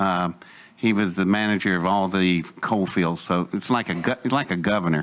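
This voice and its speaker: A man speaks with an Appalachian accent. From West Virginia (Welch, coalfields). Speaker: storyteller recounting life story. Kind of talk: personal storytelling talk to audience.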